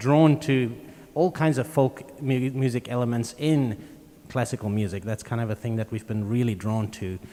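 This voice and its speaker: A man with a South African accent talks at a moderate pace. His pitch is medium, with ordinary pitch variation. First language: Afrikaans. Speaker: string quartet musician. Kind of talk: live interview at a concert.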